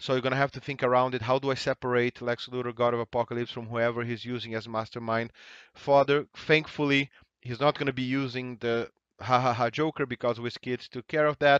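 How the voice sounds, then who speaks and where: At a fairly quick pace, a man talks in a monotone, flat intonation at a medium pitch, with a dry, close sound with no echo and a quiet background. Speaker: tabletop game reviewer. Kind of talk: game review commentary. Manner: fast.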